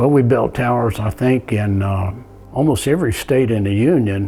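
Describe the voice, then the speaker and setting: Noticeable background noise beneath a voice with ordinary pitch variation. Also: man. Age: 80s+. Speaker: tower manufacturer and contractor. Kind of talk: interview testimony.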